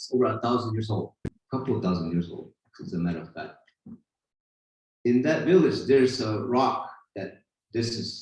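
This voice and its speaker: Lively intonation carries this moderately paced speech in an Arizona accent. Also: man. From Hopi, northeast Arizona. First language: Hopi. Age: 50s. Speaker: spiritual teacher and silversmith. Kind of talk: talk at a gathering. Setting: retreat gathering with audience.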